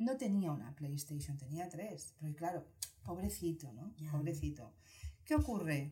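At a moderate pace, a woman speaks with lively intonation in a very deep, low voice. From Spain, Barcelona. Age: 40s. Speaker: psychologist. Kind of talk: casual interview.

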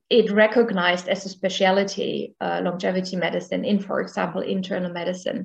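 At a fairly slow pace, a woman with a German accent talks at a medium pitch with vocal fry. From rural Germany. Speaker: professor of medicine and geriatrician. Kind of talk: interview.

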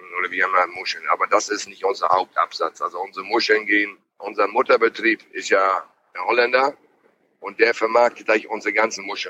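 A man is talking fairly quickly. The sound is dry and close, with no echo. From northern Germany, Schleswig-Holstein, moved there at 11 from abroad. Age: 50s. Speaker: mussel fisherman. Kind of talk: casual interview. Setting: in a car.

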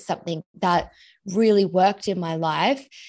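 A woman with an Australian accent talks at a moderate pace, medium in pitch with ordinary pitch variation, over a quiet background. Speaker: money coach. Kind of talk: interview.

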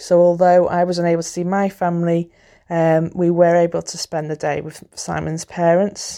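A woman speaks in a dark, mellow tone at a fairly low pitch, with monotone, flat intonation. The recording is very clean, with a silent background. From northwest England (Wirral, near Liverpool). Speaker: podcast contributor. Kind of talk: recorded personal account.

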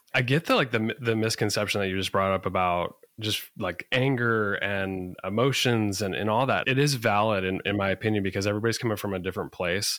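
In a very clean recording with a silent background, a man with an ordinary speaking voice talks at a fairly quick pace, fairly low in pitch with ordinary pitch variation. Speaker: podcast host. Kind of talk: casual interview.

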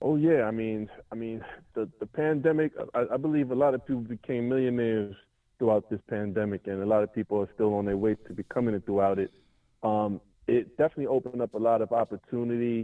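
Talking at a very fast pace with a New York accent, a man uses a medium pitch and ordinary pitch variation. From New York City, Brooklyn. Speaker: rapper. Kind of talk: casual chat.

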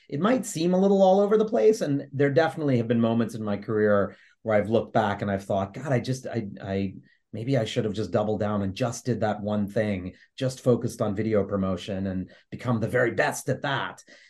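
A man with an American accent, medium pitch and ordinary pitch variation, at a fairly quick pace over a quiet background. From New York City, Lower East Side. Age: 50s. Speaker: graphic novel writer and theater producer. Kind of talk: interview. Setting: video call. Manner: halting, many repetitions.

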